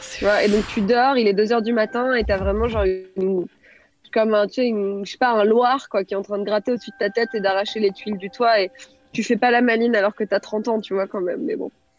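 A woman talks at a fairly quick pace with fairly even intonation. Music plays in the background, and the sound is dry and close with no echo. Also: fairly high pitch for a woman. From France, near Grenoble. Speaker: storyteller. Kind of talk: storytelling; casual chat.

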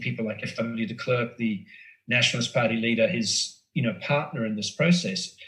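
A man speaks with an Australian accent in a bright, sharp tone. He keeps a moderate pace with ordinary pitch variation. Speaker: former foreign correspondent and author. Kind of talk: casual chat.

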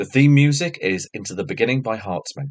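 At a moderate pace, a man of medium pitch speaks in a plain, everyday voice. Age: 50s. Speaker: podcast host and producer. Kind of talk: casual chat; scripted outro.

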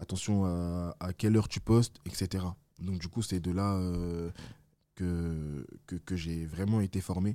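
Very slow and very deep, a man speaks with a dark, mellow tone and fairly even intonation. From France, Villefontaine near Lyon. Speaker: event organizer. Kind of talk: casual interview.

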